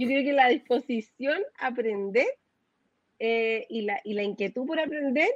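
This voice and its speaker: With ordinary pitch variation, the woman talks at a moderate pace in a fairly high pitch. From Chile. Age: 40s. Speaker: fintech manager. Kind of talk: interview. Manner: halting, many fillers and repetitions.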